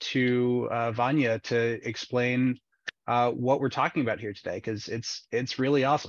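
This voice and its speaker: Monotone, flat intonation over a quiet background, with a dry sound and no echo. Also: man. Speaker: seminar moderator. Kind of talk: webinar moderation. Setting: video call. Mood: upbeat, friendly. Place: home room.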